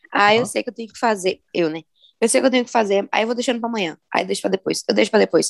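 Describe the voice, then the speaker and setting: Using vocal fry and a fairly high voice, a woman talks at a very fast pace with ordinary pitch variation and big swings in loudness, the sound dry and close with no echo. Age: 20s. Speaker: podcast co-host. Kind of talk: casual chat.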